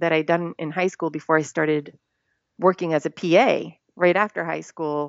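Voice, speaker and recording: In a normal speaking voice, a woman talks at a moderate pace. Her pitch sits fairly low, with ordinary variation. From Rhode Island, US. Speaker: stuntwoman. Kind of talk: interview. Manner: casual, conversational.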